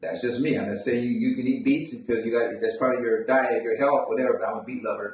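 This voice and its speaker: Audible room echo around a man speaking fairly quickly. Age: 60s. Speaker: podcast host, son of the deceased. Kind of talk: casual chat.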